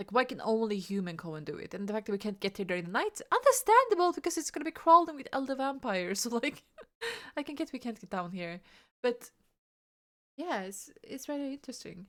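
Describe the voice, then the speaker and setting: A woman's high-pitched, very fast mumbling, with very wide pitch swings and big swings in loudness. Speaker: vtuber reacting to game trailer. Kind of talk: casual reaction commentary. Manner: halting, repeats words.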